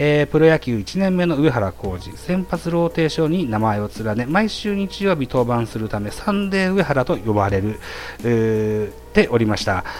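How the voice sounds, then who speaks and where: A man's medium-pitched voice with very wide pitch swings at a moderate pace, over noticeable background noise. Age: 40s. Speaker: baseball podcast host. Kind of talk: solo monologue presenting prepared notes. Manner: frequent filler hesitations.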